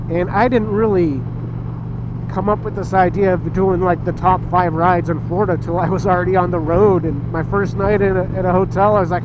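A man talks at a fairly quick pace, the sound dry with no echo and noticeable background noise present. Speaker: motorcycle vlogger. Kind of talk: casual vlog chat. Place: motorbike. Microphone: helmet.

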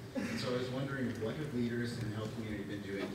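The voice comes through audible room echo and loud background noise. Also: man. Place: hall.

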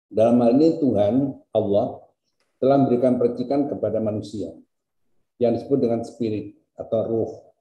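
A man's medium-pitched, somewhat breathy voice with a dark, mellow tone, fairly even intonation and a moderate pace, over a quiet background with audible room echo. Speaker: university rector. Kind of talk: formal speech. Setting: video call. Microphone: video call.

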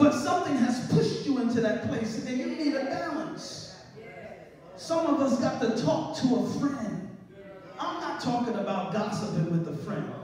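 Strong room echo and light background noise surround a man whose extremely high pitch moves with lively intonation at a moderate pace. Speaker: preacher. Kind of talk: sermon delivered to a congregation. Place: church. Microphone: camera far.

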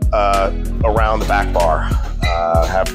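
Clear background music under a man talking at a moderate pace. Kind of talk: casual vlog tour commentary. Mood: excited. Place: shop. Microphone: lapel.

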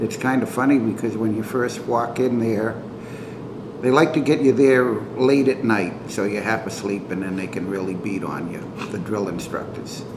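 With ordinary pitch variation, a man talks at a moderate pace while noticeable background noise sounds behind him. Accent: American. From Massachusetts, Lynn; Massachusetts. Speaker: Air Force veteran. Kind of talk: oral history interview. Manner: hesitant, many fillers.

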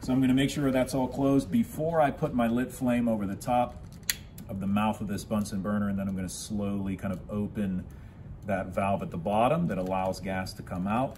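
There is light background noise as a man speaks in an ordinary speaking voice at a fairly quick pace. His pitch is fairly low, with ordinary pitch variation. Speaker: science teacher. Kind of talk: tutorial. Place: classroom. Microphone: phone near.

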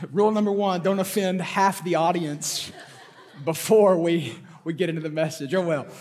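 The man talks at a moderate pace. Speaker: pastor. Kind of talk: sermon. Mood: playful, joking. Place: stage. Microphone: headset.

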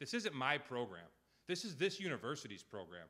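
A man with an American accent and vocal fry talks at a fairly quick pace against a quiet background. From eastern Massachusetts (Hull); Massachusetts. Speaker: college baseball head coach. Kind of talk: press conference speech. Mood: emotional, grateful. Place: meeting room. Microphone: podium.

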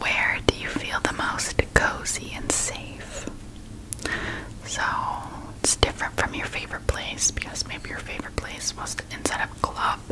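Over loud background noise, a soft-spoken woman talks at a moderate pace. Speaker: relaxation video host. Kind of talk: soft personal-attention roleplay talk. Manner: soft, hushed ASMR voice. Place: home room.

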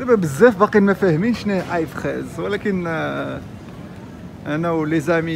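Music plays behind a man with a fairly high pitch. He keeps a moderate pace and ordinary pitch variation. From Morocco. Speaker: vlogger. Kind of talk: casual vlog talk to camera. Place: shop. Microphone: phone near.

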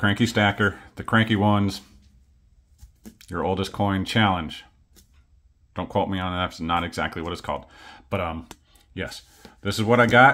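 At a moderate pace, a man with a fairly low pitch talks, taking long, frequent pauses. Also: ordinary pitch variation, big swings in loudness. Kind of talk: casual vlog chat. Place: home room. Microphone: phone near.

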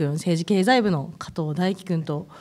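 On a very clean recording with a silent background, a woman with an unremarkable speaking voice speaks at a fairly slow pace and fairly low pitch, her intonation lively. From Akita, Kita-Akita. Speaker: recruiter and guest MC, former reporter. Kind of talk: casual interview.

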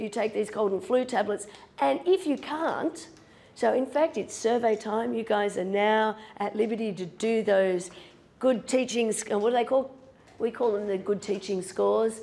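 This woman's dark, mellow voice moves at a moderate pace with ordinary pitch variation. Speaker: university law lecturer. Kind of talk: lecture. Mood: self-deprecating humor. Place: classroom.

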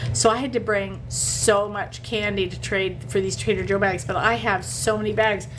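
A woman speaks at a moderate pace with hardly any pauses. Noticeable background noise can be heard. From Canada. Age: 50s. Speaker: sweepstakes coach and livestreamer; sweepstakes coach, livestreamer. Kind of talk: casual livestream chat. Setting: hotel in Las Vegas. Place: home room. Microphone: phone near.

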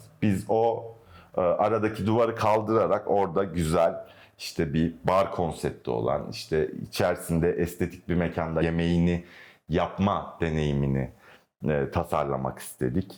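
Speaking at a fairly slow pace, a man with a very deep, low pitch keeps very even loudness and ordinary pitch variation. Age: 30s. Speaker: architect. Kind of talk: interview. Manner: hesitant, with fillers.

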